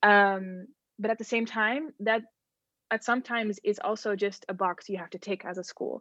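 At a moderate pace and medium pitch, a woman with a Dutch accent speaks with ordinary pitch variation in a dry, close sound with no echo against a quiet background. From Netherlands. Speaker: youth ambassador, reproductive rights activist. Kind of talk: interview.

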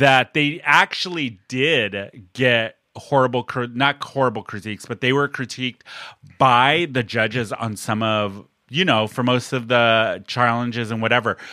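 Speaking at a fairly slow pace, a man uses a medium pitch with ordinary variation and a bright, sharp tone. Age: 40s. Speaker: podcast host. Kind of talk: casual chat.

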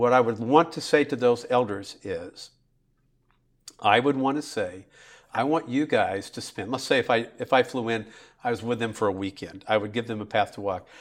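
Over a silent background on a very clean recording, a man speaks with an American accent at a moderate pace. His pitch is medium, with ordinary pitch variation. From Central California (Bakersfield). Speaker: pastor. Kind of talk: casual interview.

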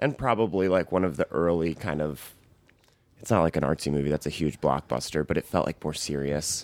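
A man's very deep, low voice with vocal fry, ordinary pitch variation and a fairly quick pace, dry and close with no echo. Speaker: critic. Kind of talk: casual chat.

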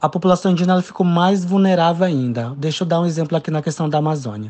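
A man speaks with a dark, mellow tone and a somewhat breathy quality. His pitch variation is ordinary. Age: 20s. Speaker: doctor. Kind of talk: interview.

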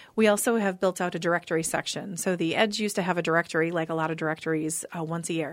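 A woman with an Upper Midwest accent, fairly low-pitched, fairly even intonation, a very fast pace and hardly any pauses. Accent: Upper Midwest (Minnesota). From Minnesota, Eden Prairie. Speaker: magazine publisher and psychic medium. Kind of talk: casual interview chat.

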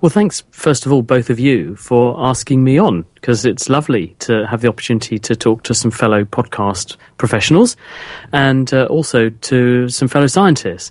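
A man with a British accent talks at a moderate pace and medium pitch, his intonation lively and his loudness very even. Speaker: scientist and science radio presenter. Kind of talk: interview.

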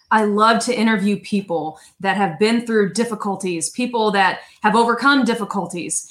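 A woman's fairly high voice at a moderate pace, animated and upbeat, with ordinary pitch variation, very even loudness and hardly any pauses. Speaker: podcast host. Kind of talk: interview chat. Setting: live video stream. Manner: animated, upbeat.

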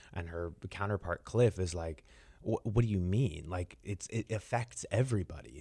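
In a very clean recording with a silent background and a dry, close sound with no echo, a somewhat breathy voice with a dark, mellow tone moves at a moderate pace with lively intonation. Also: man, very deep, low pitch for a man. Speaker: theatre director. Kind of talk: radio interview.

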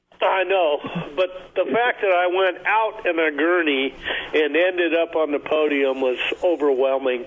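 A high-pitched man's voice with ordinary pitch variation and very even loudness, over noticeable background noise. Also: moderate pace. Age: 60s. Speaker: fishing guide. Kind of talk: casual radio interview. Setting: phone call.

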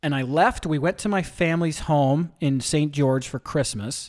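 A man with an American accent speaks in a plain, everyday voice, fairly high in pitch with ordinary variation, at a fairly slow pace. The recording is very clean, with a silent background. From US West, small-town southern Utah. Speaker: event promoter and former gym owner. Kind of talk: casual interview.

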